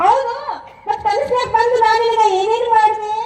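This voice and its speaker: A woman puts on a squeaky character voice at an extremely high pitch, with monotone, flat intonation. She speaks at a fairly slow pace, and there is a slight echo. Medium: stage play. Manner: bold, teasing.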